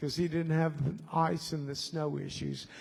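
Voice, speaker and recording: Over music in the background, a man speaks at a fairly high pitch with monotone, flat intonation. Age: 70s. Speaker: songwriter and festival organizer. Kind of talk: festival workshop remarks to audience. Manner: casual, rambling with fillers.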